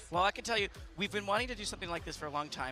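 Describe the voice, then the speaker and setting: A man with lively intonation and music in the background. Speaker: game executive producer. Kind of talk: interview. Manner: hesitant, many fillers.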